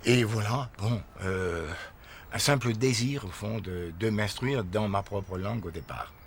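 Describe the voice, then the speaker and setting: A man with a Breton accent speaks very slowly at a fairly low pitch, somewhat breathy, with ordinary pitch variation. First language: Breton (speaking French). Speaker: Breton activist. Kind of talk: documentary interview. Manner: hesitant, many fillers.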